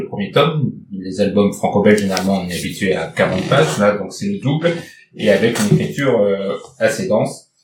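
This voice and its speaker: Using an unremarkable speaking voice, a man talks at a moderate pace with lively intonation. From northern France. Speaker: podcast host. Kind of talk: casual book discussion.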